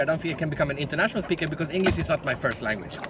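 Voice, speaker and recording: With a Swedish accent, a man speaks with ordinary pitch variation. Background noise can be clearly heard. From Sweden. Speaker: professional speaker. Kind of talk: direct-to-camera talk.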